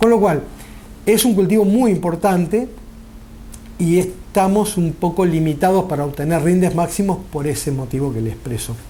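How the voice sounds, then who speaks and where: Noticeable background noise and audible room echo surround a man's voice. He speaks at a moderate pace with a high pitch and lively intonation. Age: 60s. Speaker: farmer. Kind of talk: interview. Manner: formal.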